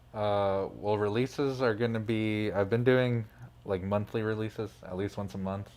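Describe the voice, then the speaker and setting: Moderately paced, this ordinary speaking voice comes with an American accent and fairly even intonation. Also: man, fairly low pitch for a man. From Phoenix, Arizona, US. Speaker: music producer and DJ. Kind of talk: casual interview. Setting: studio.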